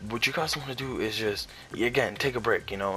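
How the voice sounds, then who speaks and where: Noticeable background noise sits under a man's fairly quick speech. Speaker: gaming YouTuber. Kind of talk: casual commentary. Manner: halting, many fillers.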